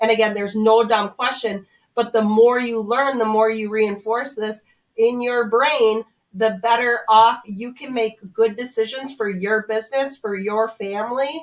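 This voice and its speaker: With a North Dakota accent, a woman speaks fairly slowly at a fairly high pitch, her intonation fairly even. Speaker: commercial realtor. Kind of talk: radio interview advice.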